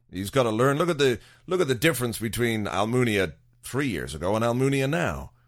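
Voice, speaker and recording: Mixing vocal fry into a medium-pitched voice, a man talks at a fairly quick pace with very wide pitch swings on a very clean recording with a silent background. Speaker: football podcast host. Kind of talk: solo casual monologue. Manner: rambling, many fillers.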